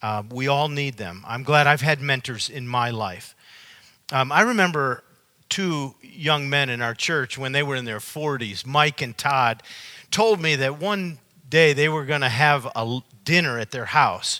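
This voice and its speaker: In a very clean recording with a silent background, a man talks at a moderate pace with a fairly high pitch, lively intonation and a bright, sharp tone. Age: 60s. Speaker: pastor. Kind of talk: sermon.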